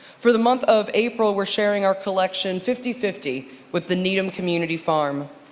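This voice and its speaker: A woman talks at a fairly quick pace with lively intonation and medium pitch. Noticeable background noise sits behind her. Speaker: minister or worship leader. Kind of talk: church service address. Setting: church sanctuary with congregation. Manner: animated.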